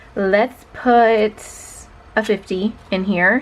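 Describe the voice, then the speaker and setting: The intonation is fairly even. Beneath it sits noticeable background noise. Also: woman. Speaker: budgeting YouTuber. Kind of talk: casual chat. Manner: conversational.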